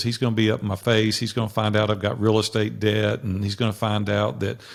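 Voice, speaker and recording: A man with a Tennessee accent, fairly low-pitched, at a very fast pace. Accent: Southern US (Tennessee). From US South, Nashville, Tennessee. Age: 60s. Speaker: business coach and entrepreneur. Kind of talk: interview storytelling.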